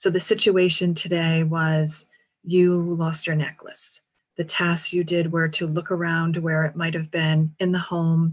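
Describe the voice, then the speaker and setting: With a New England accent, a woman speaks at a fairly slow pace in a fairly low, somewhat breathy voice with monotone, flat intonation. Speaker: career and transition coach. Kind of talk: interview conversation.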